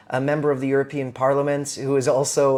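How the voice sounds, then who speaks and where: Very fast and flat in intonation, a man speaks at a fairly high pitch with a Canadian accent. Noticeable background noise runs underneath. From Canada. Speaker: comedian. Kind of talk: casual chat. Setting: in his house.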